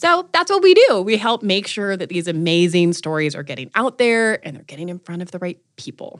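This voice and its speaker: In an ordinary speaking voice, a woman at a medium pitch talks at a fairly quick pace with hardly any pauses, ordinary pitch variation and big swings in loudness. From North Carolina. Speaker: marketing agency founder and startup accelerator leader. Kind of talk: interview conversation.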